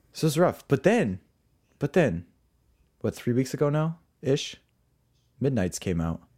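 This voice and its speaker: A man with a dark, mellow tone, vocal fry and a medium pitch speaks at a moderate pace with very wide pitch swings. Long, frequent pauses break up his speech on a very clean recording with a silent background. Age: 20s. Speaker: podcast co-host. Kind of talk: casual chat. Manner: animated.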